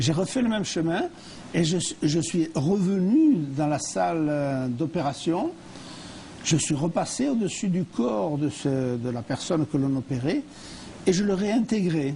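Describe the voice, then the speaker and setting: Against noticeable background noise, a man with a fairly high pitch and lively intonation speaks with long, frequent pauses. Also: fairly slow pace. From France. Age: 80s+. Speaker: near-death experience survivor and speaker. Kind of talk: TV interview testimony. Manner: halting, with repetitions and hesitations.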